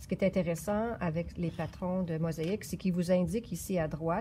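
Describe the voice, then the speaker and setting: With a Quebec accent, a woman speaks at a fairly low pitch in a dark, mellow tone with vocal fry and ordinary pitch variation, over light background noise. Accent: Québécois French. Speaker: yarn shop knitting presenter; presenter. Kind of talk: knitting tutorial. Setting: yarn shop. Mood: calm, patient. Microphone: phone near.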